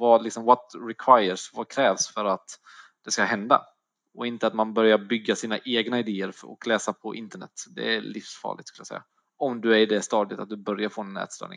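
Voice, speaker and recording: Flat, monotone intonation at a fairly quick pace, with big swings in loudness and a dry, close sound with no echo. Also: man, medium pitch for a man. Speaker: personal trainer sharing eating disorder story. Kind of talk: interview, personal testimony. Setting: online call.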